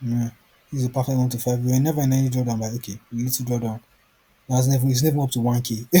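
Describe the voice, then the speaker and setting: A man talks at a very fast pace in a monotone, flat intonation. His voice is somewhat breathy, with a dark, mellow tone. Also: medium pitch for a man. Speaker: forex trading tutor. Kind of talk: screen-share trading tutorial. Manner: casual, rambling self-questioning.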